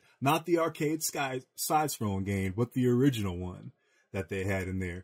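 The recording is very clean, with a silent background. A man speaks with lively intonation and a somewhat breathy voice. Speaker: podcast host. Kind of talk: casual chat. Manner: animated.

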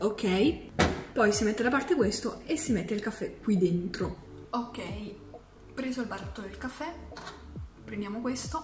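A woman at a fairly high pitch and fairly slow pace, lively in intonation, with long, frequent pauses and noticeable background noise. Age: young. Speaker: vlogger. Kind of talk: tutorial. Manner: casual, chatty. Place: kitchen.

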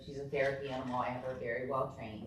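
A woman with a very deep, low voice speaks over noticeable background noise, with audible echo from the room. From Northern Kentucky. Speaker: resident speaking at public comment. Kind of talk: public comment at council meeting. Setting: city council meeting, recorded. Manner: loud; hesitant, many fillers.

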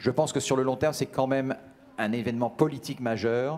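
With ordinary pitch variation, the man talks at a moderate speed. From France. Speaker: business lawyer. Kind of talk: interview. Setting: event studio set. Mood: calm, thoughtful. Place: hall. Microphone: handheld.

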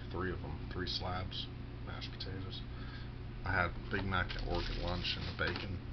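A man talks fairly slowly against loud background noise. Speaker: vlogger. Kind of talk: casual monologue vlog. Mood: self-deprecating, candid. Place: home room. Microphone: webcam.

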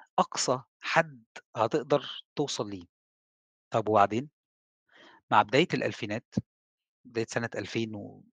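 There is a quiet background as a man speaks at a medium pitch, fairly slowly, with long, frequent pauses. His loudness swings widely, his pitch varies ordinarily, and the sound is dry with no echo. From Egypt. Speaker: telecom engineer and trainer; trainer. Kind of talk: lecture. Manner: conversational. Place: home room. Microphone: headset.

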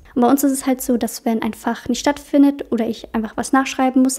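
Over a quiet background, a woman speaks in a high, dark, mellow voice with flat, monotone intonation. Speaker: podcast host. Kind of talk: casual podcast Q&A chat. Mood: relaxed and friendly. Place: home room. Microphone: studio mic.

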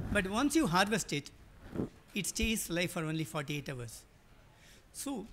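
He talks at a moderate pace. The speaker is a man. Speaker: agribusiness projects director. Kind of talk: panel presentation. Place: hall.

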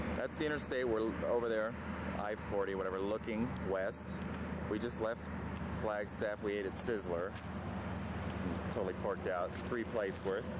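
Over loud background noise, a man speaks with long, frequent pauses in a dry sound with no echo. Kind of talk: casual travel narration. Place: street. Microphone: old recording.

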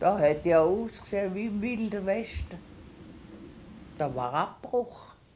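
Very slow and full of long, frequent pauses, a woman's medium-pitched voice has a dark, mellow tone and vocal fry. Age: 80s+. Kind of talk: documentary interview answer.

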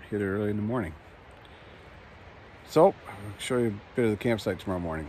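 Words come at a very fast pace in a dry sound with no echo, with light background noise. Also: man. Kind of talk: casual vlog chat. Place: tent. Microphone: phone near.

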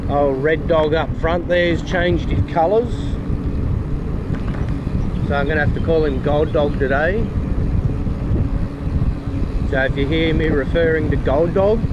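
Delivered at a fairly slow pace with long, frequent pauses, the speech sounds dry with no echo against loud background noise. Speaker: bikepacking vlogger. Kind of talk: casual vlog chat. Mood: relaxed, playful. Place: bicycle. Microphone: camera far.

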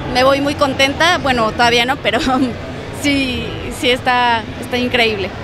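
A woman's voice, dry with no echo, over noticeable background noise. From Mexico. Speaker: voice actor. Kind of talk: interview answer. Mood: cheerful, smiling. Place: hall. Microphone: handheld.

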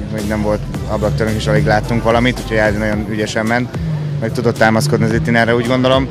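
Over clear background music, a man talks at a very fast pace in a dry recording with no echo. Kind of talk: interview answer. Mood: content, relieved after finishing. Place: street. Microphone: handheld.

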